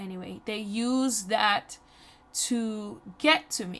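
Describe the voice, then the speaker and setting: A voice with a Jamaican accent and ordinary pitch variation. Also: woman. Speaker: YouTuber. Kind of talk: personal storytelling voiceover. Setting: voiceover recorded over makeup video. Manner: casual, conversational.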